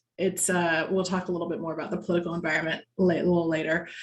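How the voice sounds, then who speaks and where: A somewhat breathy, medium-pitched woman's voice with fairly even intonation and an American accent. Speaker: lobbyist, guest speaker. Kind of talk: presentation at a members' meeting. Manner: conversational with frequent fillers.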